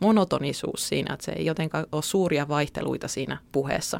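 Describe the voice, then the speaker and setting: Talking at a fairly quick pace with fairly even intonation and vocal fry, a woman is heard on a very clean recording with a silent background. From Central Finland (Keuruu). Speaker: newspaper journalist. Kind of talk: podcast interview.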